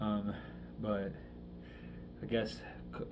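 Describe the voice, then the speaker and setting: Room echo is audible around a man as he talks. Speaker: vlogger. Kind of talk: personal video diary. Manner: halting, many fillers.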